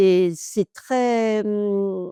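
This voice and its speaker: A woman with a dark, mellow tone. The sound is dry and close, with no echo. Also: very clean recording, silent background. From Normandy, France. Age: 70s. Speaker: retired hairdresser. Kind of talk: interview.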